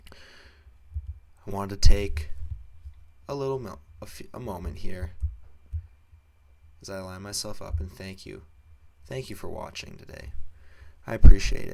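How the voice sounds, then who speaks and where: A man speaks fairly slowly in a dark, mellow, fairly low voice, with lively intonation and big swings in loudness. He takes long, frequent pauses. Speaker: gaming youtuber. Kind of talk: let's play commentary.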